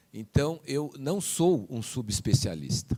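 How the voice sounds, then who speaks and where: At a fairly slow pace, a man speaks at medium pitch. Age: 60s. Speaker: physician and professor. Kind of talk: panel talk. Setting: conference hall with audience. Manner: halting.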